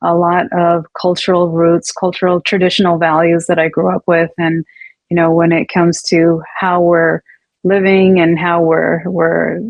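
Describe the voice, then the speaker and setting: Pitched fairly low, the woman's voice moves at a moderate pace. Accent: Californian. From Northern California, US, Punjabi family. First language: Punjabi. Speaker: abuse survivor telling her story. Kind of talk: interview testimony. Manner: hesitant, many fillers and restarts.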